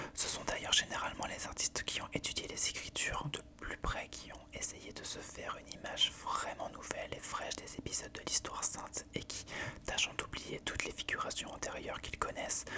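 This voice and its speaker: A woman whispering at a fairly quick pace, with big swings in loudness and noticeable background noise. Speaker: ASMR creator reading aloud. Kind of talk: whispered book reading. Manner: whispered, soft.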